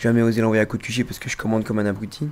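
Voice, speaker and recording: A man is speaking. His pitch is medium. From Belgium. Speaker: gamer. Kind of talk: casual chat. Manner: halting.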